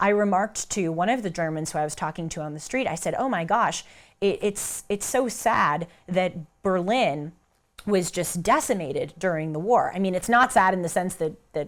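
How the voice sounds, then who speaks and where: The speaker has a Southern Californian accent and ordinary pitch variation. The pace is moderate. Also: woman. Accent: Valley Girl American. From United States. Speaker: commentator. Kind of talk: casual talk.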